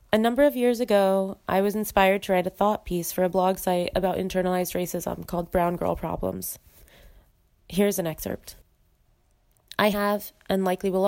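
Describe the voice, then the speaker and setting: The speaker has a normal speaking voice with an American accent. The pace is fairly quick. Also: woman. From US Midwest. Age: 20s. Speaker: guest sharing dating experiences. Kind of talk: recorded voice memo, read essay. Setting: voice memo recording.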